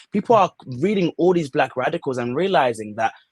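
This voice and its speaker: A man with a British accent, animated in tone and lively in intonation, at a moderate pace, in a dry, close sound with no echo. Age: 30s. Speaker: student activist. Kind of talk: podcast interview.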